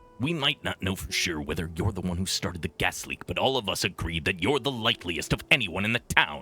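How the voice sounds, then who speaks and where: A man puts on a character voice with a very deep, low pitch. His pitch swings very widely. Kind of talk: authoritative, accusatory. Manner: exaggerated, terrible-on-purpose cop voice.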